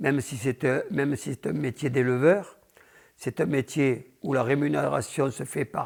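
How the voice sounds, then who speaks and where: The sound is dry and close, with no echo. A man speaks at a fairly slow pace with vocal fry. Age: 70s. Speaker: bull breeder. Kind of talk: interview. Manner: halting.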